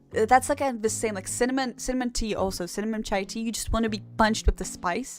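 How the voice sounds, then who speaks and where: Hardly pausing at all, a woman talks at a very fast pace. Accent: non-native. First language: not English. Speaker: vtuber streamer learning Live2D rigging. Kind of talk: casual live-stream chat reading viewer comments. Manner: halting, repeats words.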